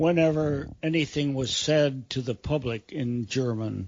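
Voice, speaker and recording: A man speaks at a very slow pace. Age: 80s+. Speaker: war veteran. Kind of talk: interview answer.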